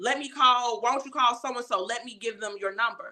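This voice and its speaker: A woman speaks in a high pitch with a bright, sharp tone and ordinary pitch variation. Her raised, projected voice carries an animated tone. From Chicago, West Side (Austin). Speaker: community activist, livestream host. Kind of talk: casual livestream talk. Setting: livestream.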